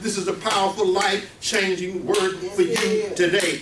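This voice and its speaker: Light background noise sits under the voice, and the room echo is audible. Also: man. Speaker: preacher. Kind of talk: sermon. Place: meeting room. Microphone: camera far.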